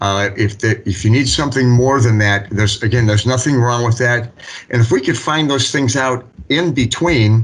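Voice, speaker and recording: A man with an ordinary speaking voice talks at a moderate pace and medium pitch, with ordinary pitch variation and very even loudness. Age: 60s. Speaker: municipal building official. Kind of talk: public meeting discussion. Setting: city board meeting.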